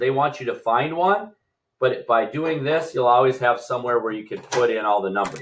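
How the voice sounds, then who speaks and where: Over light background noise, a man speaks at a moderate pace, somewhat breathy, with lively intonation. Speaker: fifth grade teacher. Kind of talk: recorded math lesson. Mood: relaxed, playful.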